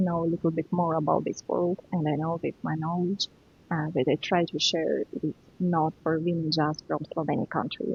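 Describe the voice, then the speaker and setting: A woman's somewhat breathy voice with a fairly low pitch and monotone, flat intonation. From Ukraine (born in Russia). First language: Russian and Ukrainian. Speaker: spiritual teacher and author. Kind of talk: podcast interview. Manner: halting, non-native phrasing.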